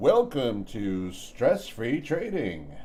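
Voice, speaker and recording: A man's put-on character voice at a medium pitch, with clear background noise. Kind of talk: announcer. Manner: put-on, showy.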